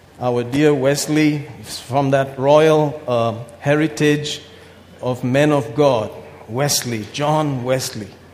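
A man with a medium-pitched voice talks as noticeable background noise carries on behind him. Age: 50s. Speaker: pastor. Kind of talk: sermon. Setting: church. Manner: animated.

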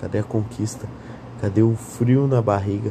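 Fairly low male voice over noticeable background noise, at a moderate pace. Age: 20s. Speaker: podcaster. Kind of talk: casual monologue. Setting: lying in bed at night. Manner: rambling, drowsy with yawns.

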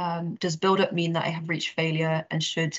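A woman's fairly low, somewhat breathy voice at a fairly quick pace, with monotone, flat intonation. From outside Scotland. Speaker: fitness coach. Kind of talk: casual chat.

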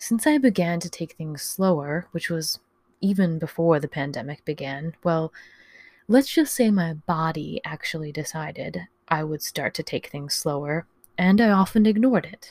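Recorded very cleanly against a silent background, a woman with a fairly low pitch and somewhat breathy voice speaks at a moderate pace, with ordinary pitch variation, big swings in loudness and a dry, close sound with no echo. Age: 30s. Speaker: podcast host. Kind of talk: personal monologue.

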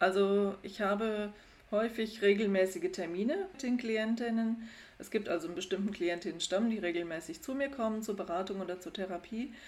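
A woman speaks in a normal speaking voice at a fairly quick pace. Her pitch is medium, with ordinary pitch variation. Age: 50s. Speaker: psychologist. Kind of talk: interview.

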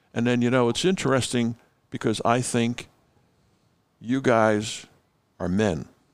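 The speech moves at a fairly slow pace, with long, frequent pauses and ordinary pitch variation. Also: man, medium pitch for a man. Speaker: father-in-law guest. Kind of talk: casual chat. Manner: joking, playful.

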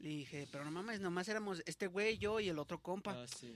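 Words come out at a very fast pace, the pitch varying in an ordinary way. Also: man. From Mexico, San Luis Potosí. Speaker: rapper. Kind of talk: casual chat. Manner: halting.

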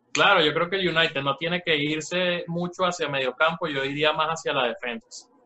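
With hardly any pauses, a man speaks at a fairly quick pace and fairly high pitch in an ordinary speaking voice. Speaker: football podcast co-host. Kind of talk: casual chat. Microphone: bad connection.

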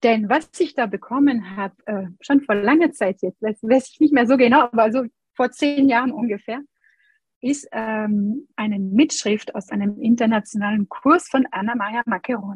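A woman with a normal speaking voice and fairly high pitch talks at a moderate pace, with ordinary pitch variation and big swings in loudness. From France. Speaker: Montessori educator and pianist. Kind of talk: interview.

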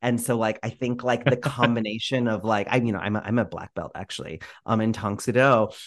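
Against a quiet background, a man with an unremarkable speaking voice talks fairly quickly at a medium pitch, with fairly even intonation and hardly any pauses. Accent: American. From Florida. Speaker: theatre director. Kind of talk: casual interview chat. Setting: home microphone, remote recording.

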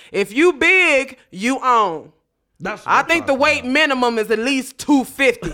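A woman's raised, projected voice, high in pitch, with a bright, sharp tone, lively intonation, an animated tone and a fairly slow pace. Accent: American. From North Chicago, Illinois. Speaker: comedian. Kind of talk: casual chat.

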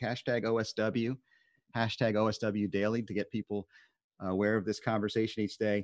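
The delivery is monotone and flat, at a moderate pace against a quiet background. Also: man, fairly low pitch for a man. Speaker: live stream host. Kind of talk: casual chat.

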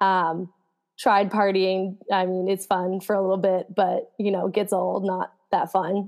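A woman talks at a fairly slow pace with an American accent. Her intonation stays monotone and flat. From New Jersey, US. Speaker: professional runner. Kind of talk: casual interview.

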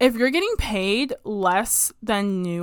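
A woman speaks in a bright, sharp tone at a medium pitch. Her delivery is animated. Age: 20s. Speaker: podcast host. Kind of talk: casual solo monologue.

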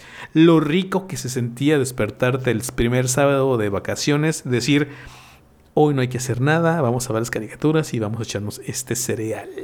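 A man talks at a medium pitch and a moderate pace in a normal speaking voice. His pitch varies in an ordinary way. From Mexico. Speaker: podcast host. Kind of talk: casual chat.

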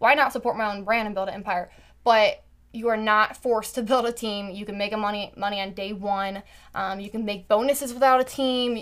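With an American accent, a woman speaks at a fairly quick pace in a fairly high pitch. Her tone is animated, and her loudness swings widely. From US Midwest (Carmel, Indiana). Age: 20s. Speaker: entrepreneur, network marketer. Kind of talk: casual chat. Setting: home bedroom studio.

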